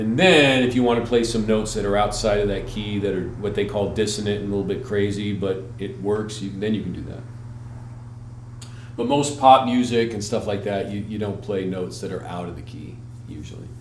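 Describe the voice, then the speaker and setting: A man talks at a fairly quick pace with a fairly low pitch. His intonation stays fairly even, and the room echo is audible. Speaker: musician and music teacher. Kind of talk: tutorial. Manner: casual, hesitant with fillers.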